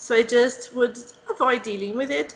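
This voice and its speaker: A woman speaks with a Portuguese accent at a high pitch, with ordinary pitch variation. Noticeable background noise can be heard. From Brazil. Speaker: English teacher, interviewer. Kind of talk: interview.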